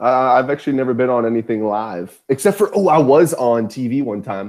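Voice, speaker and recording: Here a man speaks with an American accent at medium pitch. He keeps a moderate pace. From US Deep South. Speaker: podcast host. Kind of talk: casual chat.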